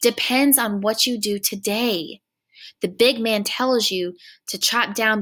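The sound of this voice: The clip features an unforced reading voice. The background is quiet.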